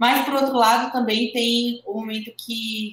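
Speaking at a fairly slow pace, a woman has an unremarkable speaking voice that sits at a fairly high pitch. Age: 20s. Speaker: professional bodybuilding athlete. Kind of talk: interview.

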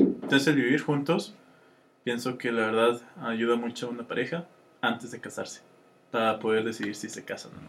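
A man with a Mexican accent speaks with fairly even intonation. His loudness swings widely, and he takes long, frequent pauses. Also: medium pitch for a man, fairly quick pace. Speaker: podcast co-host. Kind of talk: casual chat.

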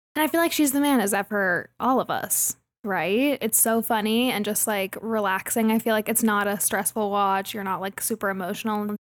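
On a very clean recording with a silent background, a woman speaks at fairly high pitch and moderate pace, with ordinary pitch variation and hardly any pauses. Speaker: podcast host. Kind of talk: casual chat. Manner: valley girl speech.

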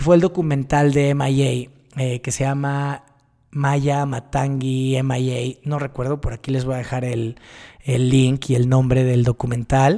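The voice has a dark, mellow tone and a monotone, flat intonation. It moves at a fairly slow pace. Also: man, medium pitch for a man. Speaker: podcast host. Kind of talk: personal monologue.

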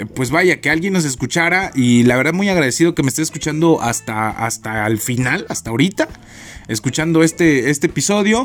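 With an unremarkable speaking voice, a man at a fairly high pitch talks at a fairly quick pace with lively intonation. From Chiapas, Mexico. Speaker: podcast host, university student. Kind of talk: casual solo podcast monologue.

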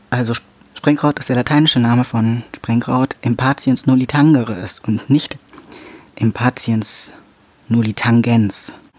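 Over noticeable background noise, a man talks at a moderate pace with medium pitch and fairly even intonation in a dry, close sound with no echo. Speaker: podcast host. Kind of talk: solo educational monologue. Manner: halting, many filler sounds.

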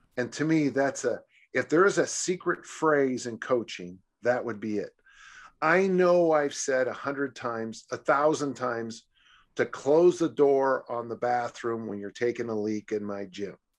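A man's normal speaking voice at medium pitch, with an American accent, lively intonation and a fairly slow pace. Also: quiet background. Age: 60s. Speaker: strength coach. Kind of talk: casual chat.

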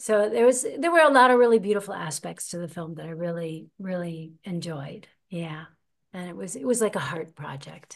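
A woman with an American accent, fairly low pitch, lively intonation and a moderate pace. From United States. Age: 50s. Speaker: actress and podcast host. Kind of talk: interview. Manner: animated.

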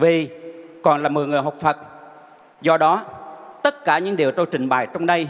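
There is noticeable background noise as a man talks with long, frequent pauses. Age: 70s. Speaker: Buddhist lay practitioner. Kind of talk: testimony. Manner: formal.

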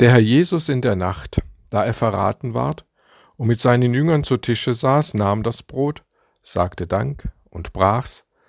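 Speaking at a very slow pace, a man uses medium pitch with very wide pitch swings. The recording is very clean and dry, close with no echo, against a silent background. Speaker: preacher. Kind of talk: sermon. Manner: formal, earnest, measured pulpit delivery.

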